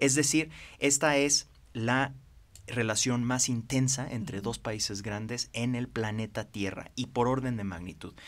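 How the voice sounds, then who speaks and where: Ordinary pitch variation from a man speaking at a fairly slow speed. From Mexico. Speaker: financier and former congressman; interview guest, former politician. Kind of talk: interview. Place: studio. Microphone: podium.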